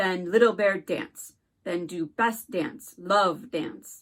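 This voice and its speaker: A woman's growling put-on character voice at a medium pitch, very slow in pace with lively intonation. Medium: read story. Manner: clipped broken speech, terse.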